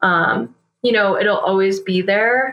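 Here is a woman with an American accent. She has an unremarkable speaking voice with ordinary pitch variation. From US Northeast, New Hampshire. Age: 20s. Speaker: ultrarunner and environmental engineer. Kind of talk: casual interview.

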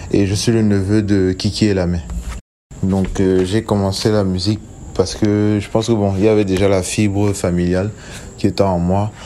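A man at a moderate pace with monotone, flat intonation and long, frequent pauses. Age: 20s. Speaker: singer. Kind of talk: recorded self-introduction.

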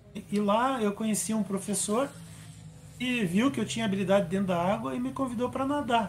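High-pitched man at a fairly quick pace with lively intonation. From Brazil, Curitiba. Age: 50s. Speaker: para-athlete and racing driver. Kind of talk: interview. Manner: halting.

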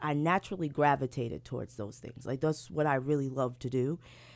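On a very clean recording with a silent background, a woman with an American accent talks very fast at a very deep, low pitch, using ordinary pitch variation. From Brooklyn, New York. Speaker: playwright and poet. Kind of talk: radio interview with spoken word poetry. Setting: radio studio. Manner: giggly, animated.

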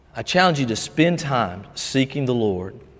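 A man with a Southern US accent speaks at a fairly slow pace with very wide pitch swings, his voice carrying audible room echo. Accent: Southern US (Georgia). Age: 50s. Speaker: pastor. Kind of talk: sermon. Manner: halting.

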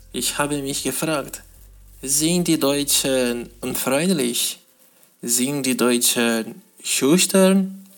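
The speaker talks very slowly with a non-native accent. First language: not German (speaking German). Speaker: podcast host. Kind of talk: casual monologue. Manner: halting.

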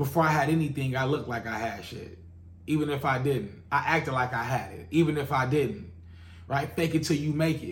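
A man speaks at a fairly quick pace with ordinary pitch variation. His pitch is fairly high, and room echo is audible. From Los Angeles, South Central. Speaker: podcast host, music industry. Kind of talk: monologue. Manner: casual, filler-heavy.

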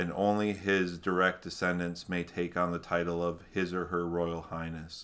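On a very clean recording with a silent background, a man with a Minnesota accent speaks at a moderate pace in a very deep, low, monotone voice with flat intonation. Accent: Minnesotan American. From Minnesota, US. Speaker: podcast co-host. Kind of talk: reading aloud history notes.

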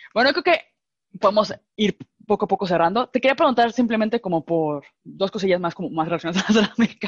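Delivered at a very fast pace, this voice has lively intonation and a dry, close sound with no echo. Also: woman, medium pitch for a woman. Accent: Mexican. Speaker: podcast host, ceramicist. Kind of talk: casual chat. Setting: video call.

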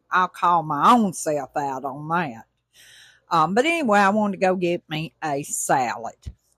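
With an Alabama accent and lively intonation, a woman talks at a moderate pace in a fairly low voice, recorded very cleanly against a silent background with a dry, close sound and no echo. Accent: US Southern (Alabama). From Alabama, Tuscaloosa. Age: 50s. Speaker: podcast host, motivational. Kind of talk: casual monologue. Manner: animated.

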